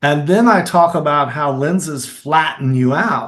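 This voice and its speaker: Somewhat breathy, a man with a Kentucky accent speaks at a fairly slow pace with ordinary pitch variation. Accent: Kentucky Southern US. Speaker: filmmaker and actor. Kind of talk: interview answer.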